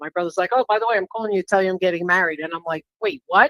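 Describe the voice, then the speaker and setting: A woman's medium-pitched voice with ordinary pitch variation, in a New York accent, with a dry, close sound and no echo. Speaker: reading recipient. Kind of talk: live psychic reading.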